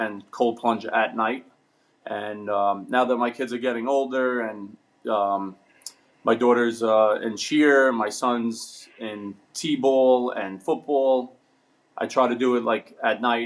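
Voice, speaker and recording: In a New York accent, a man talks at a fairly slow pace with fairly even intonation. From New York, Brooklyn. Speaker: ironworker. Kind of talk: casual chat. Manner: halting.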